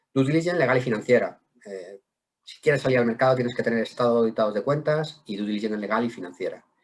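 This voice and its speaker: A man talks at a very fast pace with a medium pitch and ordinary pitch variation. His loudness swings widely. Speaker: wealth management director. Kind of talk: webinar presentation. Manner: halting, repeats words.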